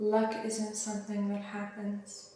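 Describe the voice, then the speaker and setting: Soft-spoken and whispering, a woman talks at a very slow pace amid noticeable background noise and audible room echo. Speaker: spiritual teacher. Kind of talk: channelled spiritual message. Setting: at home.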